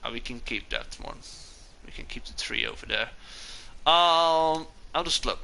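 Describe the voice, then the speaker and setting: With a Dutch accent, a man talks at a moderate pace, his loudness swinging widely and his speech broken by long, frequent pauses. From Netherlands. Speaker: gaming streamer. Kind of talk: live gameplay commentary. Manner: casual, hesitant with fillers.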